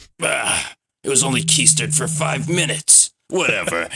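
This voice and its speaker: Putting on a character voice, a man speaks in a raspy, fairly high pitch with monotone, flat intonation at a moderate pace. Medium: game stream. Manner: sarcastic, condescending.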